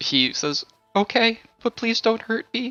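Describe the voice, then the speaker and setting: Faint music plays in the background. The speaker uses a squeaky, put-on character voice at a fairly high pitch. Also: fairly slow pace. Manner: scared, pleading.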